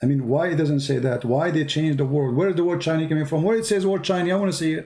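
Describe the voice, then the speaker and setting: In an Arabic accent, a man speaks very fast at a fairly high pitch with a dark, mellow tone and very even loudness. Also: ordinary pitch variation. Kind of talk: heated debate. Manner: animated.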